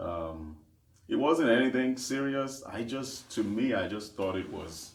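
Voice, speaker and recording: He speaks with a Nigerian accent. Audible room echo surrounds this man's voice. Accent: Nigerian (Yoruba) English. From Nigeria, Lagos. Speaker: gospel singer and worship leader. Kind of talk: interview.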